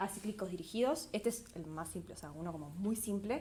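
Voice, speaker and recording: Here is a woman with an unremarkable speaking voice. She talks at a moderate pace with lively intonation. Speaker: PhD student workshop presenter. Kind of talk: lecture.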